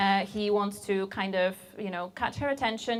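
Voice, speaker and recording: At a moderate pace, a woman talks with fairly level intonation. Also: very clean recording, silent background. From Poland. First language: Polish. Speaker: software engineer. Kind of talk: conference talk.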